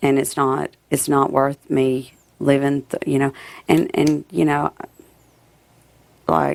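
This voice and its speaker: In a dry, close sound with no echo, a woman speaks at a very slow pace with very even loudness and long, frequent pauses. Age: 40s. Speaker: reality show contestant. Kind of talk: casual chat. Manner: halting.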